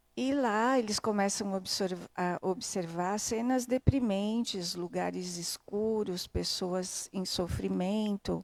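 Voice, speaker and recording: In a very clean recording with a silent background, a woman speaks very slowly with hardly any pauses, her medium pitch showing ordinary variation. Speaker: spiritist study presenter. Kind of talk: book study summary. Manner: halting.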